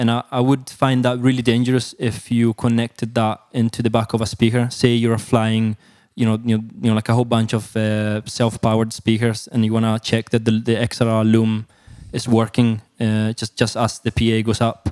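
Very clean with a silent background, the recording has a dry, close sound with no echo as a man with an Italian accent speaks at a medium pitch and moderate pace in a monotone, with flat intonation. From Italy, Perugia. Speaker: sound engineer. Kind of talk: casual interview. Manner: hesitant, many fillers and repetitions.

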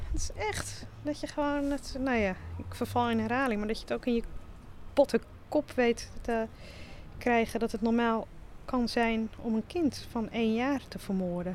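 A woman talks at a fairly slow pace. Her pitch is fairly high, with ordinary variation. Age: 50s. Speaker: local history volunteer. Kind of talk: conversation during a walking tour. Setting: outdoors, walking through town. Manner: hesitant, many fillers.

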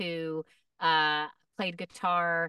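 Speaking very slowly, a woman has a bright, sharp tone. The sound is dry and close with no echo, and the background is quiet. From Middle Tennessee. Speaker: voice actor and comedian. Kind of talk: casual chat.

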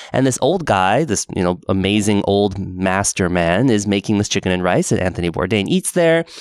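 With a Pacific Northwest accent, a man speaks at a fairly low pitch with lively intonation, very even loudness and hardly any pauses. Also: moderate pace. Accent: General American (Pacific Northwest). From Portland, Oregon. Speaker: podcast host. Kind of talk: casual chat.

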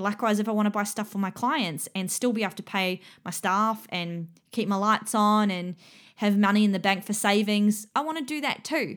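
A woman with an Australian accent speaks at a moderate pace and medium pitch with ordinary pitch variation, in a very clean recording with a silent background. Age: 30s. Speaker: fitness business mentor and podcast host. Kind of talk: solo educational monologue. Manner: casual, with filler words.

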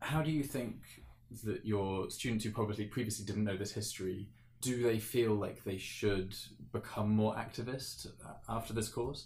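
A man's fairly low, somewhat breathy voice with a southern English accent, fairly even intonation, a moderate pace and audible room echo. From England, Cotswolds. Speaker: podcast host. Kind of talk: interview.

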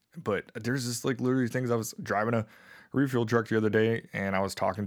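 Fairly quick and low-pitched, a man with an American accent and a plain, everyday voice keeps fairly even intonation in a very clean recording with a silent background. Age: 30s. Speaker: military veteran. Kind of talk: casual chat.

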